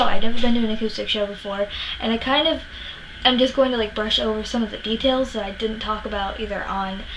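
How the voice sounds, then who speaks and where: Noticeable background noise surrounds the recording. A woman talks at a fairly quick pace with a fairly high pitch. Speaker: music vlogger. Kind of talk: casual vlog monologue. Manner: fast; hesitant, many fillers.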